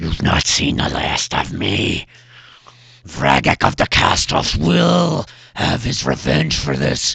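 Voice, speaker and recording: This put-on character voice growls with a menacing tone. It moves at a fairly slow pace with ordinary pitch variation. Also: man, very deep, low pitch for a man. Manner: growling, menacing.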